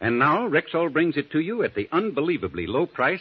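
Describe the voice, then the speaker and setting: With vocal fry and very wide pitch swings, a man speaks at a moderate pace. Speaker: radio commercial announcer. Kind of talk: scripted radio ad, polished sales pitch. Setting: studio. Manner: smooth, formal, earnest, steady. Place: studio. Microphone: old recording.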